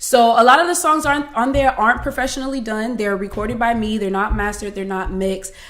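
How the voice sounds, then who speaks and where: Over noticeable background noise, a woman with an American accent and fairly high pitch speaks at a very fast pace. She uses ordinary pitch variation and hardly any pauses. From Miami, Florida. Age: 20s. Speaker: singer and beauty retail worker. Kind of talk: podcast interview.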